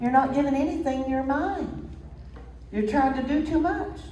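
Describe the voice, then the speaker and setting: A woman with a Tennessee accent speaks at a high pitch, with audible room echo. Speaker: minister. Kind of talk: sermon.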